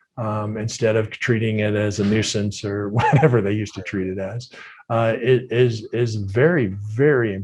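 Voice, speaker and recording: In a quiet background, a man with an unremarkable speaking voice talks at a medium pitch with fairly even intonation. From Minnesota, US Midwest. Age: 60s. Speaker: retired football player. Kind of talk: casual interview.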